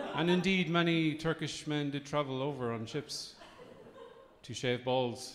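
Here a man with an Irish Midlands accent speaks at a fairly high pitch. His pace is fairly slow, with ordinary pitch variation. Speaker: comedian. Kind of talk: stand-up. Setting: stage with audience.

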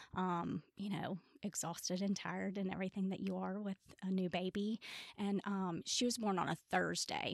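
In a Tennessee accent, a woman talks at a moderate pace and medium pitch, her intonation monotone and flat. The sound is dry and close, with no echo. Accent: Southern US (Tennessee). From US South, Memphis, Tennessee. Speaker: bereaved mother. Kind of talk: interview testimony. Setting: studio.

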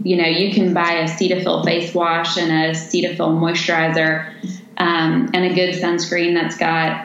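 A woman with a fairly low pitch speaks at a moderate pace. Audible room echo and noticeable background noise surround her voice. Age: 30s. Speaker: nurse injector. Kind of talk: podcast interview, explaining cosmetic treatments.

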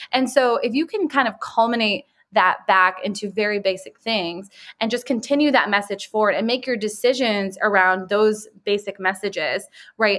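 An unremarkable speaking voice from a woman with an American accent, fairly high in pitch, with ordinary pitch variation at a moderate pace. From Chicago, US Midwest. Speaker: PR firm owner. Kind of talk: podcast interview.

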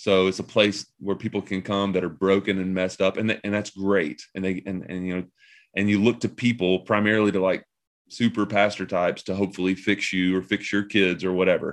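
Over a quiet background, a man with a Southern US accent talks at a fairly quick pace and fairly low pitch, with monotone, flat intonation. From US Southeast (Tennessee, Kentucky). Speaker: pastor. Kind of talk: casual interview.

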